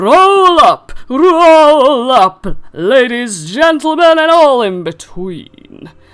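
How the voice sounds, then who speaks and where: In a booming, put-on character voice, the speaker talks at a very slow pace with very wide pitch swings. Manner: booming, showy.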